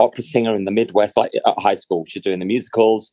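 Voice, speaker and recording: In a British accent, a man speaks with fairly even intonation, his medium-pitched voice dark and mellow, dry and close with no echo. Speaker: actor. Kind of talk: casual chat. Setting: video call.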